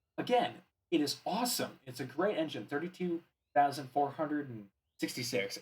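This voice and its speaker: The man's voice is somewhat breathy. He speaks at a fairly quick pace. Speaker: gaming YouTuber. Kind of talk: gameplay commentary.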